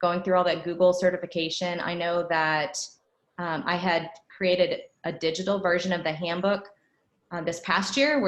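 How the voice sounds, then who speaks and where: A woman with an ordinary speaking voice and fairly low pitch talks at a moderate pace with fairly even intonation. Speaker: band director giving teacher training. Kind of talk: professional development presentation.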